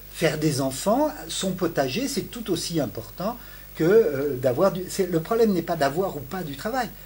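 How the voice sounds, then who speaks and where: Very wide pitch swings from a man talking at a moderate pace. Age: 60s. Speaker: sociology professor. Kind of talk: interview. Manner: halting, with many repetitions and hesitations.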